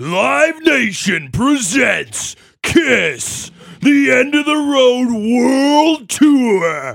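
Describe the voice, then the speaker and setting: Putting on a character voice, a man talks. His delivery is very slow. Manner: announcer delivery.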